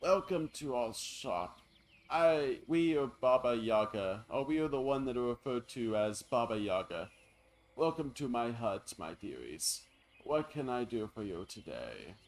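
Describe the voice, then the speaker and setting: Putting on a character voice, a man speaks raspily at a medium pitch and moderate pace with lively intonation. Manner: welcoming, creepy.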